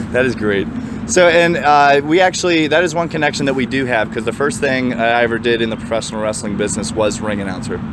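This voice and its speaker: A man talks at a very fast pace and medium pitch with lively intonation. Audible room echo and noticeable background noise are present. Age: 20s. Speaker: podcast host and wrestler. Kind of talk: casual chat.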